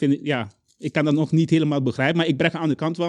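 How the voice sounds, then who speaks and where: A man with a Caribbean Dutch accent speaks at a fairly quick pace, with a dry, close sound and no echo. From Curaçao. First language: Papiamentu (speaking Dutch). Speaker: children's book author. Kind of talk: interview. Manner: halting.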